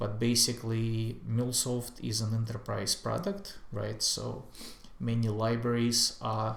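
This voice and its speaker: A man speaks at a medium pitch in a somewhat breathy voice. His pace is very slow, and the room has an audible echo. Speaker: software tutorial creator. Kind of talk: screen-share tutorial. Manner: hesitant, many fillers.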